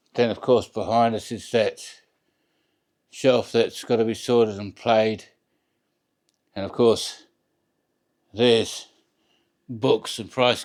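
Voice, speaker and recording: A man talks at a very slow pace. His medium-pitched voice stays monotone and flat. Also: long, frequent pauses, big swings in loudness. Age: 50s. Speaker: record collector. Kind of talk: casual video tour. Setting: home record room. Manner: halting, mumbling.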